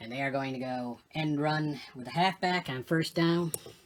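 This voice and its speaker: A man's fairly high voice moves at a moderate pace with ordinary pitch variation, while noticeable background noise carries on behind it. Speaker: tabletop sports game player and commentator. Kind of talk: casual play-by-play commentary of a tabletop game. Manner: hesitant, many fillers.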